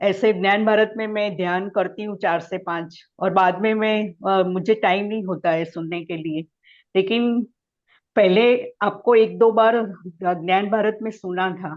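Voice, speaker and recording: The speaker uses a Gujarati accent with fairly even intonation. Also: woman, medium pitch for a woman. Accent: Gujarati-accented Hindi. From Gujarat, India. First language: Gujarati (speaking Hindi). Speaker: meditation practitioner. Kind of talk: testimony. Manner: halting.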